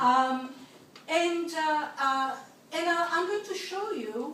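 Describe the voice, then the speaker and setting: A woman with an Italian accent and lively intonation, with audible room echo. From Italy. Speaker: linguistics professor. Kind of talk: keynote lecture. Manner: hesitant with frequent fillers.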